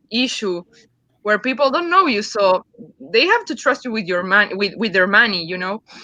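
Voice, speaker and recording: This woman speaks in a Uruguayan accent with a bright, sharp tone. Her pitch swings very widely. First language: Spanish. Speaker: comic book creator. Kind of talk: interview on live stream. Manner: halting.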